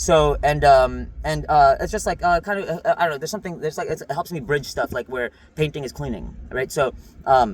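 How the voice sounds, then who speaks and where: Somewhat breathy speech moves at a fairly quick pace with ordinary pitch variation. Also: man, fairly high pitch for a man. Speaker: vlogger. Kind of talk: casual monologue. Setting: in a car. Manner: fast; halting, many fillers.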